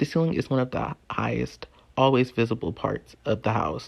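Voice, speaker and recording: Vocal fry runs through this voice at a moderate pace. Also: man. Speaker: video essayist and podcast host. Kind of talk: spoken word essay.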